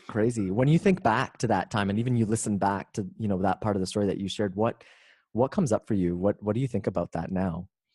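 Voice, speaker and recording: Recorded very clean with a silent background and a dry, close sound with no echo, a man talks at a very fast pace in a fairly low pitch, with a dark, mellow tone and ordinary pitch variation. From Canada. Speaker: author and speaker. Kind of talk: interview.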